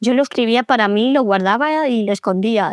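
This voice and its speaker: A woman at a moderate pace, ordinary pitch variation, dry, close sound with no echo. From Andalusia, Spain (small town near Seville). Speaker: pedagogue and author. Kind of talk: interview conversation. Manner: hesitant, many repetitions.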